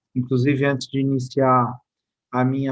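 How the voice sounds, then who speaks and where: This man has a medium pitch and speaks with a São Paulo accent. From São Paulo, Brazil. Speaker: state infrastructure secretary. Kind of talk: presentation. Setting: live online event. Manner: formal.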